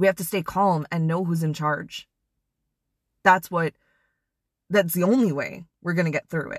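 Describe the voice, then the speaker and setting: A woman with an American accent, her pitch fairly low and her intonation ordinary, at a moderate pace with long, frequent pauses, in a dry, close sound with no echo. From US Midwest (Wisconsin). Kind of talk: devotional talk. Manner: animated, casual with laughs.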